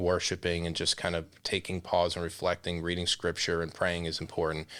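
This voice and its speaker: This speaker has an American accent and talks at a moderate pace. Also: man. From Florida (Osceola County). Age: 40s. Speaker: real estate association president. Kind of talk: interview.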